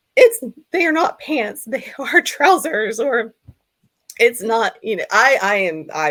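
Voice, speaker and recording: This is a woman speaking with an American accent. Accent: American accent, liked by others. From US South, Georgia. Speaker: hypnotherapist. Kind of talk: interview. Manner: hesitant, many fillers.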